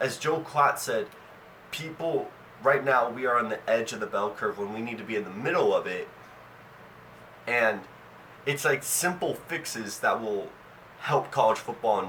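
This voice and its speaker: With noticeable background noise behind him, a man speaks at a fairly high pitch in an animated tone with lively intonation and long, frequent pauses. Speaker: sports commentary vlogger. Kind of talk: opinion monologue. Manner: animated, emphatic; repetitions and restarts.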